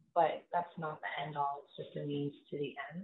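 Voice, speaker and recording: A woman speaks quietly. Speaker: financial planner, business owner. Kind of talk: interview answer.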